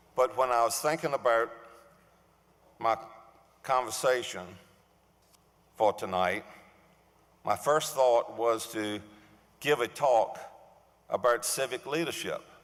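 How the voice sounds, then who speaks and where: At a fairly slow pace with long, frequent pauses, a man talks at a medium pitch with ordinary pitch variation. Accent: Virginia. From US South, Suffolk, Virginia. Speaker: award recipient, civic leader. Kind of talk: acceptance speech. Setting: stage with audience.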